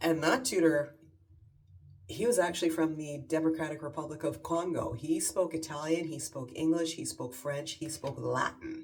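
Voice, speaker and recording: A woman with a Canadian accent, very deep, low pitch, ordinary pitch variation, big swings in loudness, moderate pace and audible room echo. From Canada. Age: 50s. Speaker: lifestyle vlogger. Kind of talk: casual chat. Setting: at home in her bathroom.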